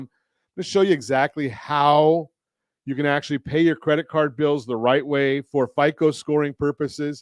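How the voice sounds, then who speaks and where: An unremarkable speaking voice at a moderate pace, recorded dry and close with no echo against a quiet background. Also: man, fairly high pitch for a man. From Southern California. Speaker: radio show host, mortgage lender and consumer advocate. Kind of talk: radio talk show host.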